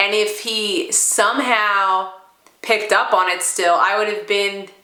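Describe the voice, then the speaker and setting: Amid noticeable background noise and audible room echo, a woman talks fairly slowly at a medium pitch. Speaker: stuttering therapy participant and real estate agent. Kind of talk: testimony. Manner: stuttering with repetitions and fillers.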